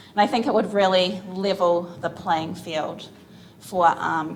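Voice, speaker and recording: Amid noticeable background noise and audible room echo, a woman with a New Zealand accent talks at a fairly slow pace. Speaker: physical therapist, conference panelist. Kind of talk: conference panel talk.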